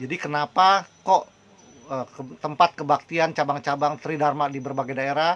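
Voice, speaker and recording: A man at a fairly high pitch and moderate pace. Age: 60s. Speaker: Buddhist preacher. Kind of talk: religious talk. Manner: hesitant, many fillers.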